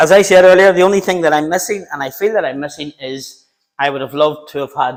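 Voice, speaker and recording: A man speaks at a very fast pace with a Northern Irish accent. The recording is very clean, with a silent background. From Northern Ireland, Belfast. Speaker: home cook YouTuber. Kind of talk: live-stream cooking tutorial. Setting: home kitchen. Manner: casual, chatty.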